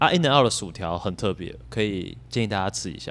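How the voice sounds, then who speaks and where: This man has an unremarkable speaking voice and a fairly low pitch. His intonation is lively. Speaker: podcast host and graduate student. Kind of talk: casual chat.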